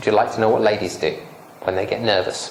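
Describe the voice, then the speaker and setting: A man's medium-pitched voice comes through with noticeable background noise and audible room echo. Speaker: public speaking trainer. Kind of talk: lecture. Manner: animated.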